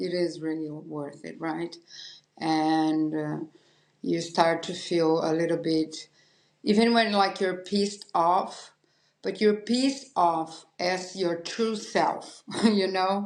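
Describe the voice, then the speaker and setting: A woman at a very slow pace in a Portuguese accent, with a fairly low voice and ordinary pitch variation. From Brazil. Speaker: podcast host and painter. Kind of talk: interview conversation. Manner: halting.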